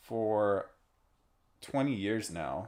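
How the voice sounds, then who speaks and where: A man talks at a very slow pace. His voice has a dark, mellow tone and a fairly low pitch. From Romania. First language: Romanian. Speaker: artist streaming while painting. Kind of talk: casual live stream chat. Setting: live stream. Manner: casual, many fillers.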